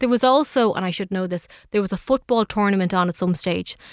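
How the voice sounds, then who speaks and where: In a very clean recording with a silent background, a woman with an Irish accent talks at a fairly quick pace, her medium pitch showing ordinary variation. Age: 30s. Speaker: technology correspondent. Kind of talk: casual chat.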